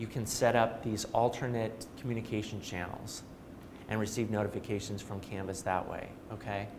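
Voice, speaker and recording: Medium pitch from a male speaker, plus audible echo from the room. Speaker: trainer. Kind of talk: training workshop. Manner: fast.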